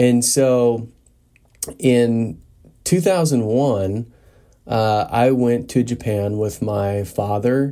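A man with an American accent has a dark, mellow tone and ordinary pitch variation. The recording is very clean, with a silent background. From US Midwest, western Nebraska. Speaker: podcast host. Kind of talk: solo podcast monologue. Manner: frequent filler words, hesitant.

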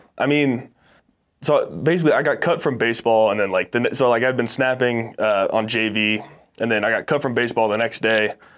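A normal speaking voice with an American accent talks at a fairly quick pace with ordinary pitch variation against a quiet background. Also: man, medium pitch for a man. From Texas and Arizona. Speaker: college football player. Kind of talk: casual interview.

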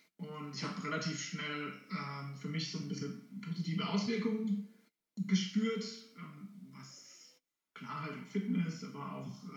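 A man with vocal fry talks at a very slow pace, leaving long, frequent pauses. His loudness swings sharply, and audible room echo surrounds him. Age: 30s. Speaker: vegan family congress organizer. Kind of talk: interview. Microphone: poor recording quality.

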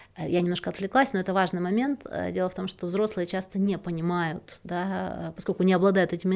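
A woman talks at a fairly quick pace in a plain, everyday voice with a medium pitch. The recording is very clean, with a silent background. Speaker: podcast host, relationship psychologist. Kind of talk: solo podcast talk.

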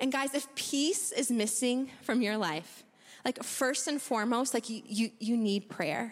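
Using an animated, playful tone and an American accent, a woman speaks in a high pitch at a fairly slow pace with ordinary pitch variation. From US Midwest. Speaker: church member giving a talk. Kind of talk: casual testimony at church service. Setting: church with audience.

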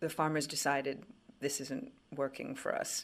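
A woman with a very deep, low pitch, fairly even intonation, and a fairly slow pace. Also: very clean recording, silent background. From Quebec, Canada. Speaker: economics writer. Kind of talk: interview.

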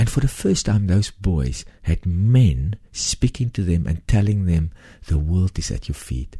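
With an Afrikaans South African accent, a man speaks fairly slowly at a very deep, low pitch, his tone dark, mellow and somewhat breathy, with lively intonation over a quiet background. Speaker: charity founder. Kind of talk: interview testimony. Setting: studio.

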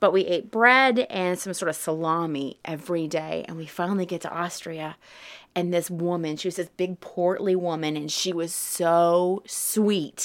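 Someone with a Southern US accent speaks on a very clean recording with a silent background. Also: woman, fairly low pitch for a woman, fairly even intonation, moderate pace. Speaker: guest. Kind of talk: casual chat. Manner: laughs often, chatty.

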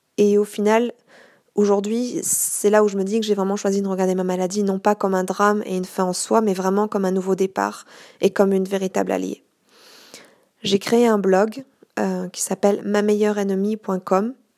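A woman speaks at a medium pitch with a dark, mellow tone. Her intonation is monotone and flat, on a very clean recording with a silent background. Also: moderate pace. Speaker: podcaster with multiple sclerosis. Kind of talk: personal testimony monologue. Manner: hesitant, with fillers.

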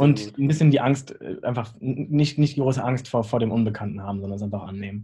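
A man's very fast, somewhat breathy delivery, medium in pitch with ordinary pitch variation, a dark, mellow tone and big swings in loudness. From northern Germany, Lüneburg Heath. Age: 20s. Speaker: chef and restaurant owner. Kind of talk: casual interview.

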